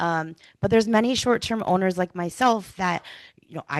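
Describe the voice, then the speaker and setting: Against a quiet background, a woman speaks loudly with lively intonation. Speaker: public commenter, local business owner. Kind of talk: public comment at township meeting.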